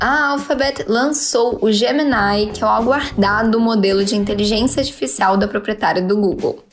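Woman with an unremarkable speaking voice, fairly high in pitch, ordinary pitch variation and hardly any pauses. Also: moderate pace. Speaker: news podcast host. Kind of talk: formal news reading. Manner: formal, steady, even-paced newsreader delivery; crisp, neutral and impersonal.

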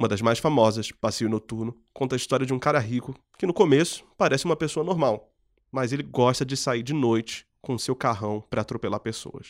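The recording is very clean, and the background is silent. The speaker moves at a fairly quick pace, and the pitch varies in an ordinary way. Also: man, medium pitch for a man. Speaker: podcast host. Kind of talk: scripted narration.

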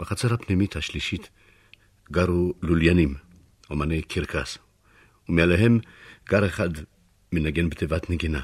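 In a very clean recording with a silent background, a man with a very deep, low pitch and ordinary pitch variation speaks at a moderate pace with long, frequent pauses.

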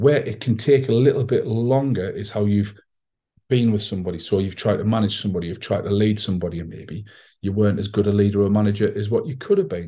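A man's somewhat breathy, dark, mellow voice at a fairly low pitch, with ordinary pitch variation and a very fast pace. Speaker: podcast host, entrepreneur and author. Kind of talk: solo monologue podcast. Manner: casual, with frequent filler ums.

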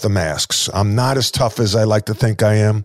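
A man with a New York accent. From Long Island, New York. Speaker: podcast host, former basketball coach. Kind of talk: interview.

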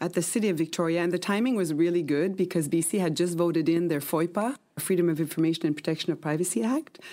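Talking at a very fast pace with hardly any pauses, a woman with a dark, mellow tone uses ordinary pitch variation on a very clean recording with a silent background. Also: fairly low pitch for a woman, very even loudness. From Quebec, Canada. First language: French (dominant, though English learned first). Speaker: museum manager. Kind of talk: interview.

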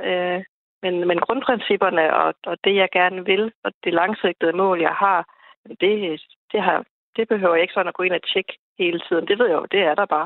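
At a moderate pace, a woman talks at medium pitch in an ordinary speaking voice. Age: 30s. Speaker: insurance worker and hobby investor. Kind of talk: radio panel discussion. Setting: phone call.

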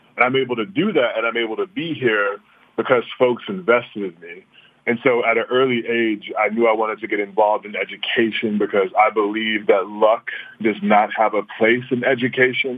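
Speaking fairly quickly with an American accent, a man uses an unremarkable speaking voice at medium pitch with ordinary pitch variation. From US South, Louisiana (Baton Rouge, New Orleans). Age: young. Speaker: charter school CEO, former principal. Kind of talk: interview. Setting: phone call.

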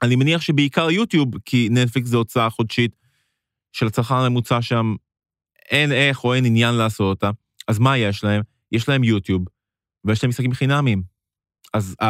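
On a very clean recording with a silent background and a dry, close sound with no echo, a man speaks at a moderate pace and a medium pitch. His pitch varies in an ordinary way, his loudness stays very even, and he takes long, frequent pauses. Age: 30s. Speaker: gaming podcast co-host. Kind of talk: casual chat. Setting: studio.

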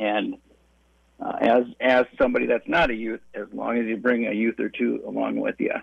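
A man at a moderate pace with a Wisconsin accent. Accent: Upper Midwest (Wisconsin). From western Wisconsin, La Crosse area. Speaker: trapping education instructor. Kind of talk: radio interview. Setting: phone call.

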